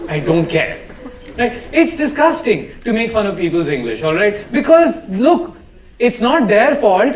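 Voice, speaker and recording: With an animated tone and an extremely high pitch, a man speaks at a fairly slow pace with very wide pitch swings and long, frequent pauses. Noticeable background noise and audible room echo surround him. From India, South Delhi. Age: 30s. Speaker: stand-up comedian. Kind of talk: stand-up. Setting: stage with audience.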